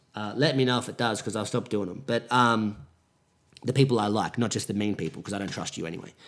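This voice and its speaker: Here a man speaks at a very fast pace. His pitch is medium and his intonation fairly even. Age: 20s. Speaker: podcaster. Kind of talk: solo monologue podcast. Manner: self-correcting, trying to avoid filler words.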